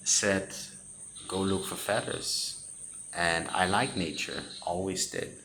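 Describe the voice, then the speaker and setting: A man with a Danish accent speaks very slowly at a very deep, low pitch. His intonation is fairly even, and audible room echo surrounds the voice. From Denmark. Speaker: spiritual content creator. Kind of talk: personal testimony. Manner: halting.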